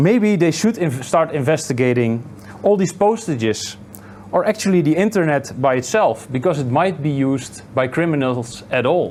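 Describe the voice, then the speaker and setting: A man with a Dutch accent speaks at a moderate pace in a fairly high pitch, with lively intonation. His loudness stays very even over noticeable background noise. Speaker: meetup organizer and interviewer. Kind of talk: interview at a meetup. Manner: halting.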